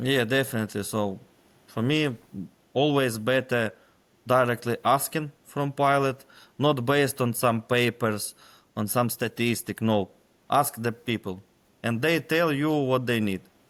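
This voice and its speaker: A man with a Ukrainian accent speaks at a medium pitch and a fairly slow pace, keeping his intonation fairly even and leaving long, frequent pauses. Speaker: military intelligence officer. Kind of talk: interview. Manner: halting, many fillers.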